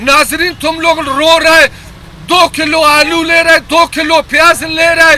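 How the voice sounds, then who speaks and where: A raised, projected voice with a Pashto accent sounds animated, its loudness very even. Noticeable background noise runs behind it. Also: man, extremely high pitch for a man. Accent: Pashto-accented Urdu, local. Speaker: vegetable vendor. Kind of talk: street interview, comic. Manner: animated, emphatic.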